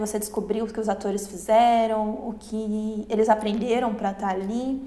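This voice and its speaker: A woman with a fairly high voice speaks at a moderate pace, audible room echo around her. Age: 20s. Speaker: podcast co-host. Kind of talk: casual chat.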